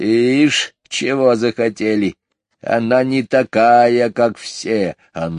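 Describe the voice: Plain reading aloud with fairly even intonation. The background is quiet.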